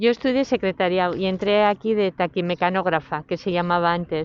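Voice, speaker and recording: A woman speaks in a normal speaking voice with ordinary pitch variation. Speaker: former factory worker. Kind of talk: testimony.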